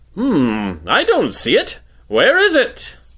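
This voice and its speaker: A man talks at a fairly slow pace in a put-on character voice. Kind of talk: comic overacting. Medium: read story. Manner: theatrical, showy.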